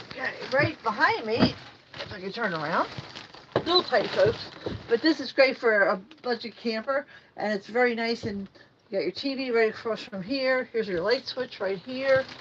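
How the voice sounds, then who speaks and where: At a moderate pace, a woman with a fairly high pitch and ordinary pitch variation speaks with long, frequent pauses over noticeable background noise. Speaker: RV reviewer. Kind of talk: walkthrough tour. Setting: indoors, inside an RV at a trade show. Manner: casual, chatty.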